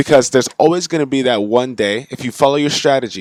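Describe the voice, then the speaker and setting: Someone talks at a very fast pace with an American accent. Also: man. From United States. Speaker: forex trading youtuber. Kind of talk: casual tutorial. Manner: casual, filler-heavy.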